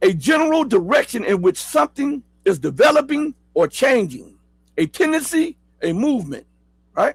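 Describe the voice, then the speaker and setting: With an American accent, a man speaks at a moderate pace in a dry, close sound with no echo. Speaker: political news commentator. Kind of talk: live news commentary show. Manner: casual, with many fillers and repetitions.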